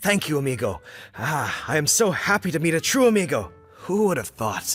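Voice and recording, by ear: In a put-on character voice with a slightly husky edge, the speaker makes big pitch swings while faint music plays in the background. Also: man, fairly high pitch for a man, moderate pace.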